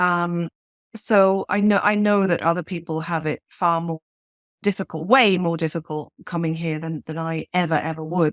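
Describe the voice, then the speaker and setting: With a British accent, a woman speaks at a moderate pace and a fairly low pitch with fairly even intonation. The sound is dry and close with no echo, in a very clean recording with a silent background. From Switzerland. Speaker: novelist. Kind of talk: interview.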